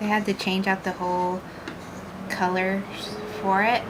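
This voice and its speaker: Soft-spoken and monotone with flat intonation, a woman talks at a medium pitch over noticeable background noise. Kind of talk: soft-spoken ASMR painting ramble. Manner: rambling, casual.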